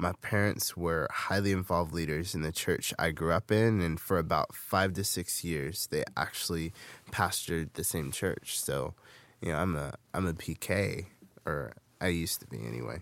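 A man with an American accent speaks at a moderate pace in a very deep, low voice with vocal fry and ordinary pitch variation, recorded very cleanly over a silent background. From US West Coast, Bay Area. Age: 20s. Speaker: podcast host, youth leader. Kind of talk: personal testimony podcast.

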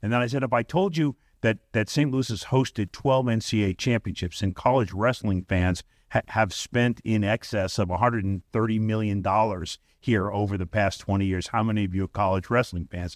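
A man with an unremarkable speaking voice talks at a fairly quick pace, fairly low in pitch with ordinary pitch variation, in a very clean recording with a silent background and a dry, close sound with no echo. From Brooklyn, New York. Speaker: sports executive. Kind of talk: casual interview.

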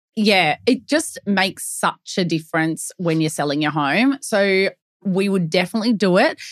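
Lively intonation marks this Australian accent, delivered at a moderate pace in a dry, close sound with no echo over a quiet background. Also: woman, medium pitch for a woman. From Melbourne, Australia. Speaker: real estate agent podcast co-host. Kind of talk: casual chat.

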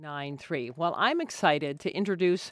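Lively intonation and a moderate pace in an ordinary speaking voice. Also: woman. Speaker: radio host. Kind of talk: radio interview chat. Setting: radio studio.

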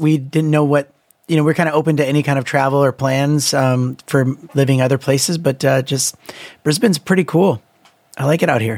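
Heard with a dry, close sound and no echo, this man has a plain, everyday voice, a fairly high pitch and a fairly quick pace. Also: very even loudness. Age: 30s. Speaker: musician and YouTube creator. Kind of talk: casual chat.

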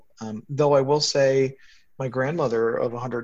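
At a fairly slow pace, a plain, everyday voice comes through against a quiet background. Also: man. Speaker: retired tech CEO, hospice volunteer. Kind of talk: casual interview.

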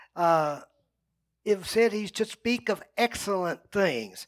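Spoken in a rural Texas accent with ordinary pitch variation, the clip has a dry, close sound with no echo on a very clean recording with a silent background. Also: man. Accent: rural Texas Southern US. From US South, North Central Texas. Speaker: pastor. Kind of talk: sermon.

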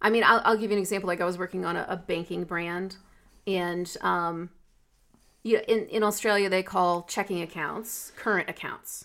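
A woman with an American accent speaks in an unremarkable speaking voice at medium pitch and a moderate pace, with fairly even intonation, in a very clean recording with a silent background. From United States. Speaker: podcast co-host, marketing professional. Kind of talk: casual chat. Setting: recording from home.

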